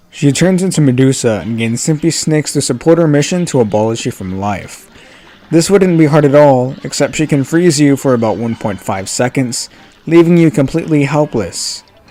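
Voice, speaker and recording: Through noticeable background noise, a man speaks at a moderate pace with a fairly high pitch and lively intonation. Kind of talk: game commentary narration.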